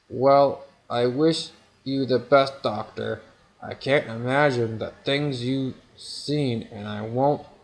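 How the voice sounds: Here the reading voice sounds natural.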